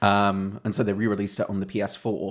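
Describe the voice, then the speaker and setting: With a British accent, a man speaks at a fairly slow pace and a fairly low pitch on a very clean recording with a silent background. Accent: British, non-rhotic. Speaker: podcast co-host. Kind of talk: casual chat.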